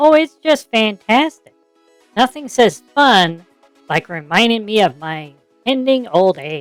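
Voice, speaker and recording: A female-sounding voice performs a put-on character voice at a fairly slow pace. Faint music plays in the background. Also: fairly high pitch for a woman. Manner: sarcastic.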